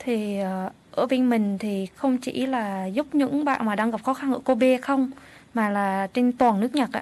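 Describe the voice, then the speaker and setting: Speaking at a very slow pace, a woman uses a high-pitched voice. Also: ordinary pitch variation. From Vietnam. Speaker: social support worker and interpreter. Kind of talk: radio interview. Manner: halting.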